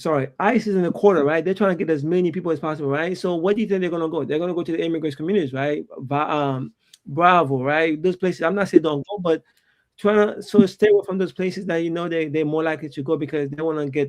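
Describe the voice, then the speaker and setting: Speaking very fast with a strong non-native accent, a man uses a fairly high pitch and ordinary pitch variation. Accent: thick foreign. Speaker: immigration lawyer. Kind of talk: panel discussion. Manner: halting, many fillers.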